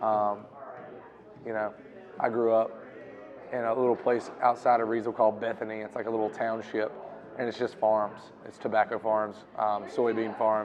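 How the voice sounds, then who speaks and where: With a Southern US accent, the speaker talks in a monotone, flat intonation broken by long, frequent pauses. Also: man, medium pitch for a man, moderate pace. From US South, North Carolina (Reidsville area). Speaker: musician. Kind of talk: interview.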